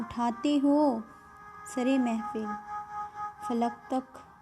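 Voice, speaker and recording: A woman speaking over music in the background. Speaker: radio jockey. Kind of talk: poetry reading.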